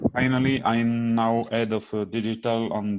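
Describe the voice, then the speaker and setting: In a French accent, a man speaks at a fairly slow pace and fairly low pitch, in a monotone, flat intonation. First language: French (speaking Vietnamese). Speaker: engineering consultant and BIM lead. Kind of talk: presentation.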